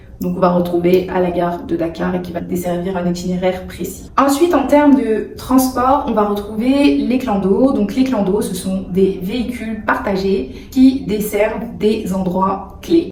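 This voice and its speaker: In a room with audible echo and noticeable background noise, a woman speaks fairly slowly at a medium pitch, with ordinary pitch variation. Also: hardly any pauses. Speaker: YouTuber. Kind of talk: vlog tutorial.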